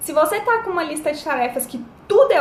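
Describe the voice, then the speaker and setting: A woman speaks at a fairly quick pace. Room echo and background noise are both noticeable. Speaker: life coach. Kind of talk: live-stream talk to viewers, advice. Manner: casual, chatty.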